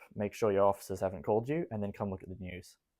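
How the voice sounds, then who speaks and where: On a very clean recording with a silent background, a man with an Australian accent speaks in a fairly low, dark and mellow voice with ordinary pitch variation. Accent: some Australian. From Israel, Jerusalem. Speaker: army reservist. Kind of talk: interview.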